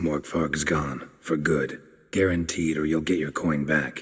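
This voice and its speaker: A man's put-on character voice, raspy and very deep in pitch, at a fairly slow pace. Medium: video game. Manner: laconic, dry, low.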